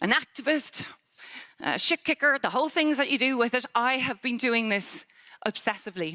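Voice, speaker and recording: Animated and bright, sharp in tone, a woman speaks at a high pitch with ordinary pitch variation. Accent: Irish. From Ireland. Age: 50s. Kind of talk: conference keynote talk. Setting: stage with audience.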